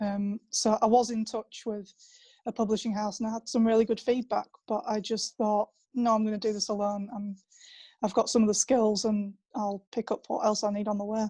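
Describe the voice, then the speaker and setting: Dry and close with no echo, a woman's somewhat breathy voice has a fairly high pitch, a dark, mellow tone, and monotone, flat intonation. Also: fairly quick pace, very clean recording, silent background. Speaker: author. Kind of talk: panel discussion.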